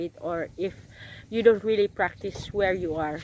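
Speaking at a fairly slow pace with a Filipino accent, a woman is heard with a dry sound, no echo, and light background noise. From Philippines. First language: Tagalog. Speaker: vlogger; travel vlogger. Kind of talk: casual vlog; casual vlog chat. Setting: outdoors. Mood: cheerful, friendly. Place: beach. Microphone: phone near.

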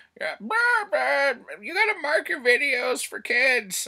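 A man puts on a character voice at an extremely high pitch. He talks at a fairly slow pace. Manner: mocking.

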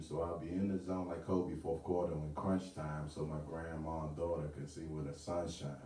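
A man's very deep, low voice in a confident tone, flat and monotone at a moderate pace, with audible room echo. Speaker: spoken word artist. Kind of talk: spoken word poetry performance at open mic. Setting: live open mic venue. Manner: rhythmic, confident delivery. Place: home room. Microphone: camera far.

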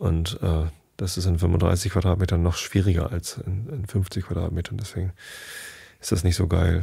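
A man's very deep, low voice, dark, mellow and somewhat breathy, with a relaxed tone. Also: fairly even intonation, moderate pace. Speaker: podcast host who reads bedtime stories. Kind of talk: casual chat then reading aloud. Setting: home recording, solo. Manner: relaxed, rambling, uses many fillers.

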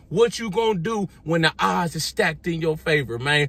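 Speaking at a moderate pace, a man with a fairly high voice sounds animated, with lively intonation and a dry sound with no echo. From US, grew up in the projects. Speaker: fitness and motivational YouTuber; motivational YouTuber. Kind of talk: motivational vlog monologue. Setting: outdoors, sitting in his driveway. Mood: motivational, defiant. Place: car. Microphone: phone near.

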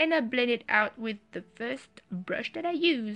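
A woman with a strong French accent speaks at a high pitch in a bright, sharp tone. Her pace is fairly slow. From France. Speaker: beauty vlogger. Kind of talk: makeup tutorial voice-over.

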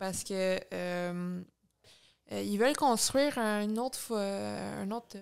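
In a quiet background, a woman speaks at a very slow pace. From Quebec. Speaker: former candidate, student organizer; candidate. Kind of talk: interview. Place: home room. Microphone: studio mic.

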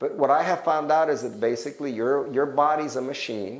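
The speaker uses lively intonation. The pace is moderate. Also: man. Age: 60s. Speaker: health educator. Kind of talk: testimony. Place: hall. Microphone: lapel.

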